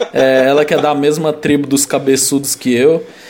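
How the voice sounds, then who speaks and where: Over noticeable background noise, a man with a fairly high pitch talks at a fairly slow pace in a monotone, flat intonation. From Brazil. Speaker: podcast co-host. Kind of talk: casual chat.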